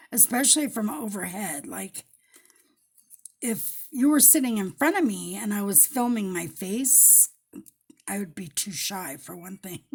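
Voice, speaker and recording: A woman speaks at a medium pitch with vocal fry and very wide pitch swings. Her pace is fairly slow, with long, frequent pauses. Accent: American. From Colorado, US. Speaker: paper crafter. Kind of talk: crafting tutorial. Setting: home craft table, overhead camera. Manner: casual, chatty.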